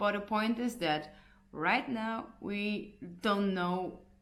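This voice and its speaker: In a Hungarian accent, a woman speaks with audible room echo. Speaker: punk band singer. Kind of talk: casual vlog update. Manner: halting, many fillers and restarts.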